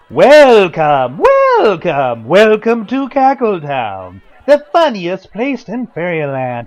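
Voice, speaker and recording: Someone puts on a character voice, talking very slowly with very wide pitch swings and hardly any pauses. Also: man, high pitch for a man. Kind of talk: radio drama performance. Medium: audio drama. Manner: jolly, laughing.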